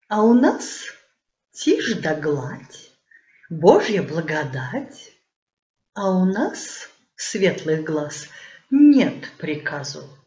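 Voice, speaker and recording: The speech moves at a very slow pace with very wide pitch swings. Room echo is audible. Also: woman. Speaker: theatre director and actress. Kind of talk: poetry reading. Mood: playful, expressive. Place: home room. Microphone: webcam.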